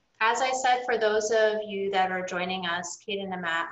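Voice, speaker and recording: With audible room echo, a woman talks at a moderate pace with ordinary pitch variation. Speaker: nonprofit board member and moderator. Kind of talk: moderated Q&A discussion. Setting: video call. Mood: warm, calm. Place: home room. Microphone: webcam.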